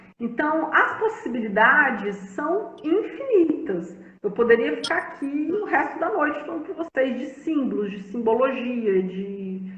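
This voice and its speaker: A woman with a high pitch and very wide pitch swings speaks at a fairly slow pace, with audible room echo and noticeable background noise. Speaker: family constellation therapist. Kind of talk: live-stream conversation. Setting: Instagram live stream.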